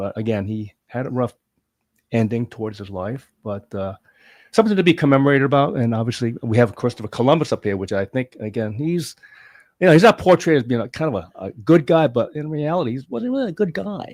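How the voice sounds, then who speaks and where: With an American accent and a plain, everyday voice, a man talks fairly quickly at a medium pitch, his intonation lively. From California. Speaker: guest discussing a memorial fund. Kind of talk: casual chat.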